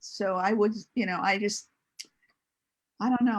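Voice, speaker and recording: A woman's fairly high, somewhat breathy voice. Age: 70s. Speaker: single mother sharing her story. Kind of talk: casual chat.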